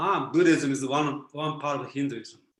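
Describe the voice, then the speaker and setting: With a Japanese accent, a man speaks at a fairly slow pace in a fairly high pitch, his intonation fairly even and some room echo audible. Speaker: philosopher. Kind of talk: Q&A answer in online talk.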